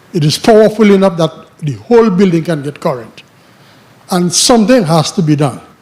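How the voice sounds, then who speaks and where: A man talks fairly quickly in a high pitch with lively intonation as noticeable background noise carries on. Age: 70s. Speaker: public housing resident. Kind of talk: public comment at town hall. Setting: town hall meeting. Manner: halting, repeats words.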